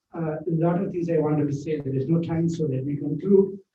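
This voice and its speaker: A man speaks with a Keralan accent. His pitch is fairly high, and his pace is moderate. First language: Malayalam. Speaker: author. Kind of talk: speech. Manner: halting.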